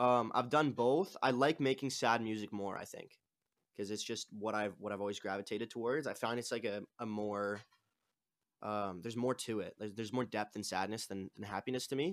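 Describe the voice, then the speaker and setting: The speaker talks at a fairly quick pace in a Canadian accent, with ordinary pitch variation. The recording is very clean, with a silent background. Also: man, medium pitch for a man. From Canada, Toronto suburbs. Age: 20s. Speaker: singer-songwriter. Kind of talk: interview. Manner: halting.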